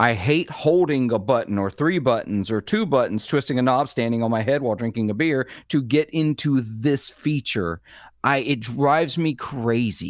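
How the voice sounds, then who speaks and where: Speaking with a Southern US accent, a man uses medium pitch and lively intonation at a moderate pace on a very clean recording with a silent background. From US South. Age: 40s. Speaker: guest co-host and podcaster. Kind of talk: casual chat.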